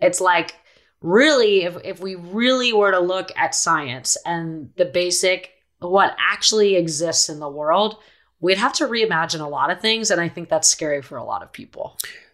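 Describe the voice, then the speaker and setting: A woman with a plain, everyday voice speaks at a medium pitch, with lively intonation and big swings in loudness. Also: moderate pace. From Philadelphia, US East Coast, moved around abroad. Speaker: activist and author. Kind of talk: interview.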